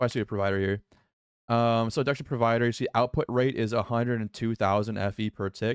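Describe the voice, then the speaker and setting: A man talks at a moderate pace and a medium pitch. The sound is dry and close with no echo, over a quiet background. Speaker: gaming YouTuber. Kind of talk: gameplay tutorial. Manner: repeats words, fillers.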